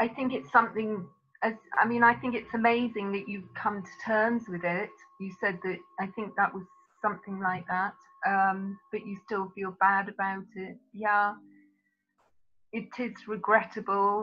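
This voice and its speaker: A woman with a British accent speaks at a fairly slow pace in a medium pitch, her intonation fairly even. Her loudness swings widely, and she pauses long and often. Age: 60s. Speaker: psychotherapist. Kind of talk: webinar Q&A.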